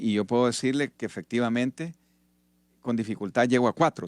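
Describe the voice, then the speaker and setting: The man's voice sounds dry and close with no echo, in a very clean recording with a silent background. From Honduras. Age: 60s. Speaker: retired army officer and politician. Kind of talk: radio interview.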